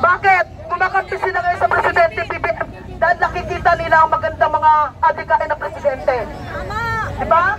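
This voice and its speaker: A woman speaks loudly at an extremely high pitch and a fairly quick pace, broken by long, frequent pauses. Crowd noise fills the background. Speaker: fish vendor, political supporter. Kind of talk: rally speech. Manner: animated.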